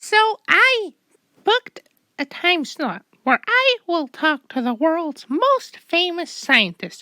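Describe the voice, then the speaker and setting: A squeaky, cartoonish character voice from a woman, extremely high in pitch with very wide pitch swings. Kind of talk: comic overacting. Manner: stammering, rambling, overeager.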